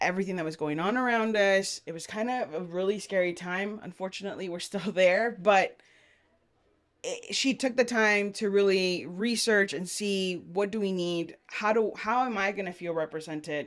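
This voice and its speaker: A woman with an American accent and a medium pitch speaks at a moderate pace in a very clean recording with a silent background. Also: ordinary pitch variation. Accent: South Texas Mexican American English. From Brownsville, Texas. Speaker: business co-founder. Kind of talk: interview conversation.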